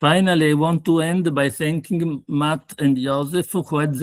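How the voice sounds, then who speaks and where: In an Italian accent, the speaker goes at a fairly slow pace with fairly even intonation, the sound dry and close with no echo. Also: man. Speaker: pathologist. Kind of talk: lecture.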